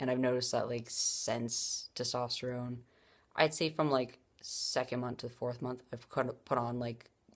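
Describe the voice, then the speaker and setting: Over a silent background in a very clean recording, a woman speaks in a flat, monotone way with a very deep, low pitch at a moderate pace. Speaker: vlogger. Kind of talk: casual vlog. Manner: hesitant, many fillers.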